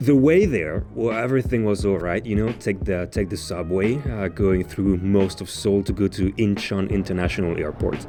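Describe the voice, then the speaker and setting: Over music in the background, a man with a fairly low pitch speaks at a moderate pace with ordinary pitch variation and hardly any pauses. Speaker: vlogger. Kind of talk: travel vlog narration. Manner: casual, hesitant.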